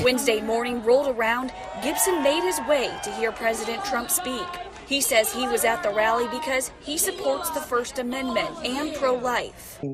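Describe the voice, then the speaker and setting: A woman with an American accent speaks at a high pitch and moderate pace with lively intonation, crowd noise behind her. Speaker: TV news reporter. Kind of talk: TV news reporter reel, live and packaged stand-ups.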